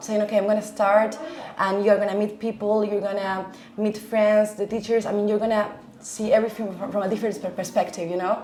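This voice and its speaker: A woman speaks with a Spanish accent at a fairly high pitch. Noticeable background noise can be heard. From Argentina. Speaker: language teacher. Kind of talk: interview. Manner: hesitant, many fillers; enthusiastic.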